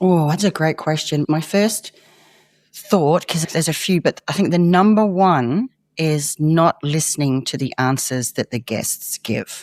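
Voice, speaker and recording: A woman with an Australian accent speaks at a fairly slow pace in a very deep, low voice with lively intonation. The sound is dry and close, with no echo. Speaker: former investigative journalist. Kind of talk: interview conversation.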